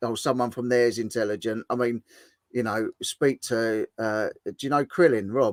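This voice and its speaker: With a dry, close sound and no echo, a man talks at a moderate pace and medium pitch with fairly even intonation. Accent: English. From southern England. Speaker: livestream host. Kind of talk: casual chat.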